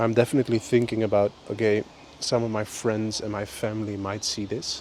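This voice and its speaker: Against noticeable background noise, a man with a Dutch accent speaks in a relaxed tone at a fairly quick pace, his intonation monotone and flat. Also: fairly low pitch for a man. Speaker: vlogger. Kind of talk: casual monologue. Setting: outdoors on a walk.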